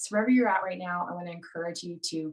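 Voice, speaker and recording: A woman with an American accent talks at a medium pitch. Her pitch variation is ordinary. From United States. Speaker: stepfamily coach co-host. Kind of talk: live webinar presentation. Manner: animated.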